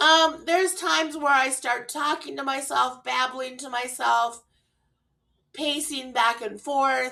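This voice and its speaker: At a very slow pace, a woman speaks in a raised, projected voice with a bright, sharp tone and high pitch. Her loudness swings widely while her pitch variation stays ordinary. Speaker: mental health vlogger. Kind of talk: personal vlog talk. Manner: halting, with pauses; slightly slurred.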